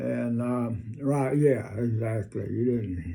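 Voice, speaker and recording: A man of medium pitch speaks with a Southern US accent. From North Carolina, USA. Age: 80s+. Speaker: WWII veteran. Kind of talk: interview answer.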